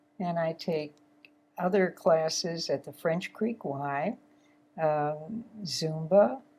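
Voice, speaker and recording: A woman's fairly low, dark, mellow voice at a very slow pace, with long, frequent pauses, big swings in loudness and ordinary pitch variation. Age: 80s+. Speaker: retired flight attendant. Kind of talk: casual chat.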